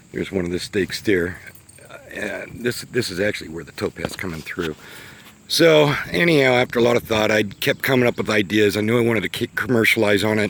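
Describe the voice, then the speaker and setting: With an American accent, a man speaks at a fairly quick pace, his fairly low pitch moving in lively intonation over noticeable background noise. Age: 60s. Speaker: small business owner. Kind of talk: casual unscripted vlog narration. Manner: halting, many fillers.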